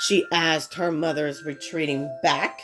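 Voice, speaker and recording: A woman talks at a very slow pace with music in the background. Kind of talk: read story.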